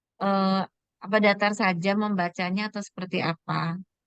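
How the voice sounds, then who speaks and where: Recorded with a dry, close sound and no echo, a woman speaks at a medium pitch with fairly even intonation. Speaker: preschool teacher, audience member asking a question. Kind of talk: question in online webinar. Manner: halting, many fillers.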